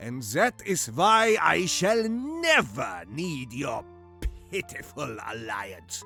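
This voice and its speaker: Over clear music in the background, a man does a put-on character voice at a fairly high pitch. He speaks very slowly, with very wide pitch swings and big swings in loudness. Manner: menacing, contemptuous.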